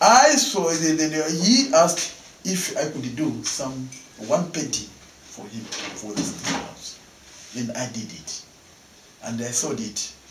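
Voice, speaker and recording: Speaking at a very slow pace, a man uses a fairly high pitch with very wide pitch swings and long, frequent pauses. There is noticeable background noise. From Malawi. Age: 60s. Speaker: painter; interviewee. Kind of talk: interview; interview answer. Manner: halting. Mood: cheerful, laughing often. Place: home room.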